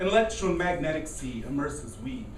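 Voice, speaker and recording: Noticeable background noise can be heard while a man is talking. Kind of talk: poetry reading at open mic. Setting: coffee house open mic with live audience.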